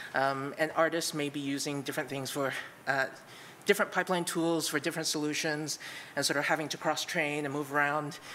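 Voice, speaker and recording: A woman talks at a fairly quick pace in a bright, sharp tone. Her voice is shaky. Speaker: conference speaker, product manager. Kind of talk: conference talk. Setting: stage with audience. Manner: shaky voice; many filler words.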